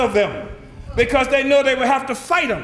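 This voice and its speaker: In an American accent, a man speaks with an extremely high pitch and an animated tone. Audible room echo and noticeable background noise run through the clip. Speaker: political movement leader. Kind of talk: political speech. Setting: conference audience. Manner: fast.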